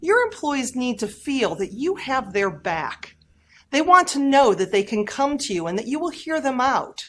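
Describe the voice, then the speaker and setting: A woman speaks in a high pitch at a moderate pace, with very wide pitch swings. The recording is very clean, with a silent background. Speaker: professional keynote speaker on employee engagement and workplace culture. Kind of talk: short workplace leadership advice talk to camera. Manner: high energy, enthusiastic.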